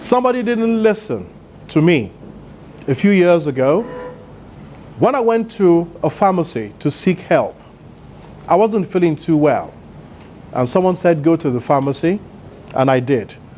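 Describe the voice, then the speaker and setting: A man with a high pitch and very wide pitch swings, very even loudness, a moderate pace and long, frequent pauses, over noticeable background noise. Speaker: motivational speaker. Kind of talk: conference keynote speech. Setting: stage with audience.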